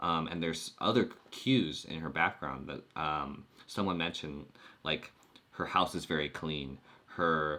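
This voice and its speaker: A man's very deep, low voice with vocal fry and a bright, sharp tone, fairly slow in pace, with ordinary pitch variation. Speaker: YouTube coach. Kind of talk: live stream chat. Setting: live stream. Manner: clear and fluent on this topic; uses many filler words.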